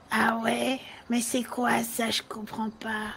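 In a put-on character voice, a woman speaks very slowly with a raspy, fairly high pitch over clear background noise. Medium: game stream.

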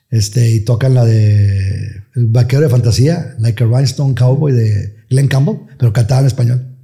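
A man speaks at a moderate pace with a quiet background. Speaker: radio announcer. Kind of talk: interview answer. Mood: relaxed, reminiscing. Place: studio. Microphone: studio mic.

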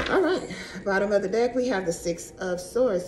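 A woman speaks at a moderate pace. There is light background noise behind her. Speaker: tarot reader. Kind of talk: tarot reading vlog. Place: home room. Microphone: phone near.

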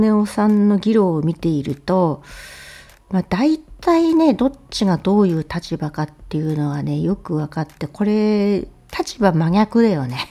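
A woman talks at a fairly slow pace in a dark, mellow voice. Her medium pitch swings very widely. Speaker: political commentary YouTuber. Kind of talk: casual news commentary monologue. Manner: chatty, conversational with many fillers.

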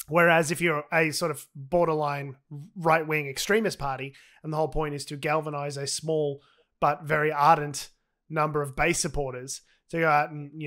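A man's bright, sharp tone at fairly high pitch, with an Australian accent, moderate pace, monotone, flat intonation and big swings in loudness, over a quiet background. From Australia (Victoria). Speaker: comedy podcast co-host. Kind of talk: casual chat. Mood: sardonic, joking. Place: home room. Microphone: studio mic.

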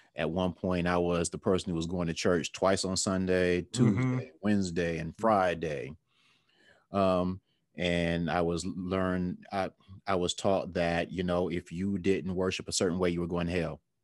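A man with a very deep, low pitch, monotone and flat, at a moderate pace, dry with no echo, against a quiet background. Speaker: podcast co-host. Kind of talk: casual podcast discussion. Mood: reflective, relaxed. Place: home room. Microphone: webcam.

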